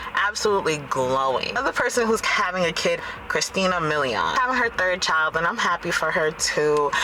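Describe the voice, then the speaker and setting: Over noticeable background noise, a woman in an animated tone speaks at a medium pitch, with lively intonation, very even loudness, a fairly quick pace, and hardly any pauses. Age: 20s. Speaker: vlogger. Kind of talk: casual chat.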